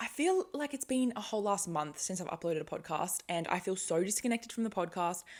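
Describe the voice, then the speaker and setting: Mumbling in an Australian accent, a woman speaks at medium pitch in an animated tone with lively intonation. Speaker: podcast host. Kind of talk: casual monologue. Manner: fast, animated.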